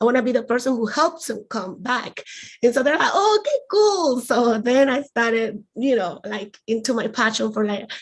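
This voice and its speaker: Speaking with a Spanish accent, a woman holds a moderate pace at a high pitch. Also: ordinary pitch variation. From Colombia, rural. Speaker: aerospace engineer. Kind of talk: panel discussion. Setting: live stream.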